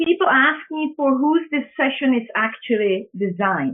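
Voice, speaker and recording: A woman with a Czech accent speaks at a high pitch with lively intonation. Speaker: public speaking trainer. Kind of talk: webinar presentation. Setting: online webinar. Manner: halting with fillers.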